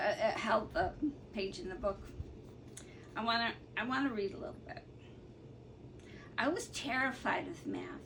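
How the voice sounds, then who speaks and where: Lively in intonation and fairly high in pitch, a woman speaks at a moderate pace with long, frequent pauses, big swings in loudness and audible room echo. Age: 60s. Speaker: artist and colouring hobbyist vlogger. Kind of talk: casual vlog talk. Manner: hesitant, many fillers.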